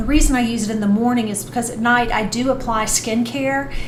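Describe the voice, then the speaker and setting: A fairly high female voice amid noticeable background noise. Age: 50s. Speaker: skincare vlogger. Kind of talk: casual talk to camera.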